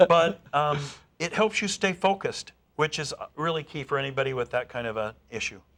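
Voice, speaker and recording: The man talks at a fairly quick pace with a fairly high pitch. The recording is very clean, with a silent background. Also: lively intonation. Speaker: speed-reading educator. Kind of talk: interview. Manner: fast.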